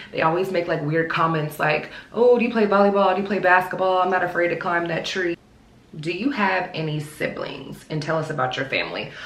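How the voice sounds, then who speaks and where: A woman with an American accent and a fairly low pitch, ordinary pitch variation and a fairly quick pace, amid noticeable background noise and audible room echo. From US South, Charlotte, North Carolina. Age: 30s. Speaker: lifestyle vlogger. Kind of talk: casual Q&A vlog. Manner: casual, chatty.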